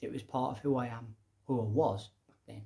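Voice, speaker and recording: Somewhat breathy man with a slight Midlands accent and fairly even intonation. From English Midlands. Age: young. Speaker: educator and public speaker. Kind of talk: casual monologue. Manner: conversational.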